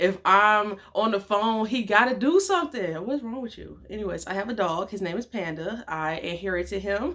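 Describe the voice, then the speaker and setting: A woman at medium pitch talks with lively intonation and an animated tone, hardly pausing, her loudness swinging widely. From Detroit, Michigan. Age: 20s. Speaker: vlogger and model. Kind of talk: casual vlog talk. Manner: fast.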